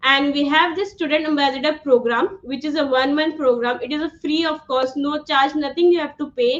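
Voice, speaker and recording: Loud and high-pitched, a woman speaks with an Indian accent. Her pace is fairly quick, her intonation fairly even. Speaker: online instructor. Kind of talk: live online class. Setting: livestream.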